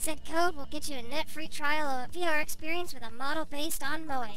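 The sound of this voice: A woman puts on a raspy, high-pitched character voice at a moderate pace, with faint music in the background.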